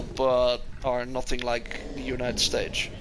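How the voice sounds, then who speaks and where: A man's bright, sharp voice with a Dutch accent at a fairly slow pace, with audible room echo. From Netherlands. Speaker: gaming streamer. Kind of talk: live gameplay commentary. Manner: casual, hesitant with fillers.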